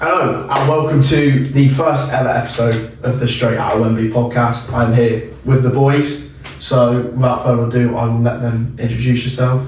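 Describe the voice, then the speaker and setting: With audible room echo and noticeable background noise, a man speaks at a medium pitch and a moderate pace, using fairly even intonation and hardly any pauses. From Plymouth, southwest England. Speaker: university student podcast host. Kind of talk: casual chat.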